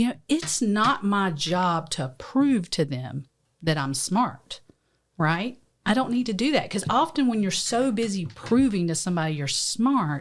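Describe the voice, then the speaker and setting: A woman's medium-pitched voice in a strong Southern US accent, fairly slow and with very wide pitch swings. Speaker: lawyer and podcast co-host. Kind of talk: casual chat. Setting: studio.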